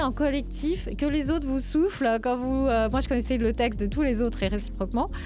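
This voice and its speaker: Music plays in the background as a woman speaks at a high pitch. The room echo is audible. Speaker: tech industry executive and diversity advocate. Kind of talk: podcast interview. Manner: fast.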